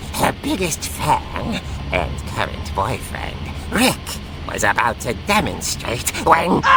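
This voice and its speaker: Over loud background noise, a put-on character voice moves at a fairly slow pace. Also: man, medium pitch for a man. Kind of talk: horror comic narration. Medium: game stream. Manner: theatrical, relishing.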